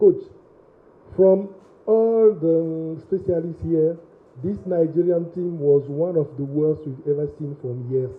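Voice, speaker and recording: Someone talks at a very slow pace with a French-speaking African accent. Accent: French-speaking African, non-native English. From Togo. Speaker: sports journalist. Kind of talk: press conference question. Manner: halting.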